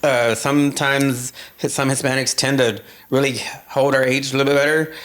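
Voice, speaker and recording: Against noticeable background noise, a man talks at a fairly quick pace in a fairly high pitch, with monotone, flat intonation and very even loudness. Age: 50s. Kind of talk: casual chat.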